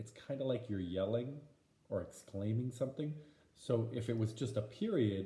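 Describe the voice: Simply plain reading aloud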